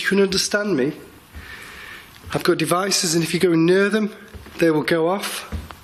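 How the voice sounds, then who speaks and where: Noticeable background noise sits behind a man with a high-pitched voice. He speaks at a moderate pace with fairly even intonation. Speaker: paranormal investigator. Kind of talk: live ghost-hunt commentary.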